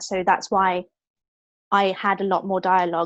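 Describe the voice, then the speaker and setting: Over a quiet background, a woman with a British accent speaks in a monotone, flat intonation, the sound dry and close with no echo. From Hong Kong. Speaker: actor. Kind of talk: interview. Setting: video call.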